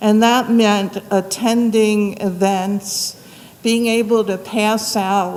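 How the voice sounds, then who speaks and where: A woman talks very slowly while noticeable noise carries on in the background. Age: 70s. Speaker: advisory board chair. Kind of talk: public presentation. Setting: community center meeting room.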